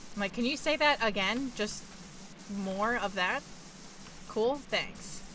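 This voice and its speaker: At a very slow pace with long, frequent pauses, a woman with an American accent speaks at fairly high pitch, her loudness very even and her pitch variation ordinary. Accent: noticeable accent, comes out at times. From New York. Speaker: video game streamer. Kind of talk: casual chat. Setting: live stream.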